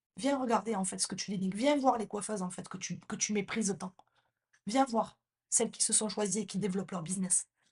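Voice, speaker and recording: An animated, somewhat breathy woman at a fairly high pitch, with ordinary pitch variation and a moderate pace. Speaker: hairdresser and salon business coach, podcast host. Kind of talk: podcast monologue, impassioned rant. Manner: direct, addresses listener as tu. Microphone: new microphone.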